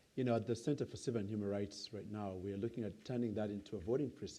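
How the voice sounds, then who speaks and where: Here a man talks at a very fast pace with fairly even intonation. His voice is fairly low in pitch, with a dark, mellow tone. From Uganda. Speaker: nonprofit CEO, moderator. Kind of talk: onstage interview.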